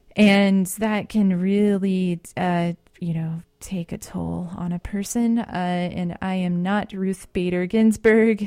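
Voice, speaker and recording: Very slow with hardly any pauses, the voice has a dark, mellow tone and monotone, flat intonation on a very clean recording with a silent background. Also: woman, medium pitch for a woman. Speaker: community radio DJ. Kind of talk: radio DJ talk between songs. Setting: radio studio. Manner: loud; halting, many fillers.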